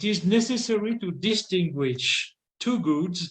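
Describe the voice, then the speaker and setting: A man with a French accent speaks with very wide pitch swings. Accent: non-native English, French. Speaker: philosophy scholar. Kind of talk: lecture read aloud. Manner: halting; formal.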